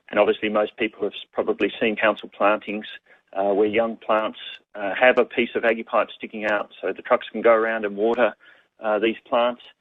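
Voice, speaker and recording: With an Australian accent, a man speaks at a fairly quick pace in a medium-pitched, monotone, flat voice. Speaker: water conservation presenter. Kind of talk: webinar presentation. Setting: online webinar. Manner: fast; halting, many fillers.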